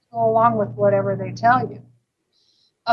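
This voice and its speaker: A woman with an American accent, music playing in the background. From US West Coast, Los Angeles. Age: 60s. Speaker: vegan restaurant owner. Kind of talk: interview. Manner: halting, with many fillers.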